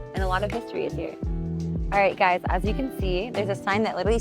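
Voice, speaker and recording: This woman talks fairly quickly while music plays behind her. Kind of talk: casual talk to camera, tour vlog. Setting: outdoors, on-location tour.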